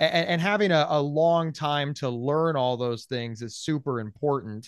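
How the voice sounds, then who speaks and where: A man with an unremarkable speaking voice talks at a fairly slow pace, fairly high in pitch with ordinary pitch variation, against a quiet background. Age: 40s. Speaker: podcaster and mental health advocate. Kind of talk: interview.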